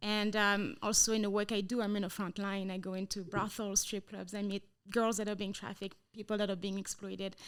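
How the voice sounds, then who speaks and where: With a French accent, a woman at a medium pitch speaks in a monotone, flat way at a fairly quick pace with hardly any pauses. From France. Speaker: anti-trafficking missionary, trafficking survivor. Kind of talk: interview testimony. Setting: training center.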